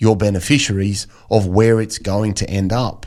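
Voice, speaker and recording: A man with an Australian accent, fairly low in pitch and monotone, flat in intonation, at a moderate pace in a very clean recording with a silent background. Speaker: financial planner. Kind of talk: radio interview.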